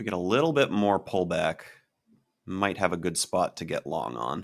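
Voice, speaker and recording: The voice shows very wide pitch swings, big swings in loudness, and vocal fry at a moderate pace. The recording is very clean, with a silent background. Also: man, very deep, low pitch for a man. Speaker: day trading streamer. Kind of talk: live trading commentary. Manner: casual, hesitant fillers.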